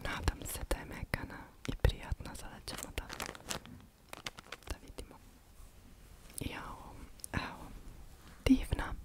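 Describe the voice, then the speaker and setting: A woman is whispering. Background noise is noticeable. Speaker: ASMR creator. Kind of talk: ASMR haul video. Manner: whispered.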